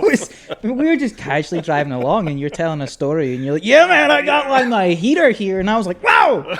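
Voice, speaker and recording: Noticeable background noise sits behind a man with a high-pitched voice. He talks fairly quickly, with very wide pitch swings. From Scotland. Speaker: podcast co-host. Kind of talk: casual podcast conversation.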